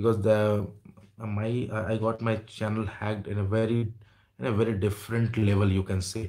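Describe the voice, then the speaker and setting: A man with an Indian accent speaks at a moderate pace against a quiet background. His fairly low voice has a dark, mellow tone and monotone, flat intonation. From India, Jamshedpur. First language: Hindi. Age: 30s. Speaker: YouTuber. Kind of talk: livestream chat with viewers. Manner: halting. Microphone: earbuds.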